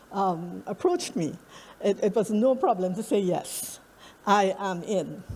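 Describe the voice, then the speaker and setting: A woman with a Trinidadian accent speaks with lively intonation. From Trinidad and Tobago. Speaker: academic researcher. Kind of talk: conference presentation.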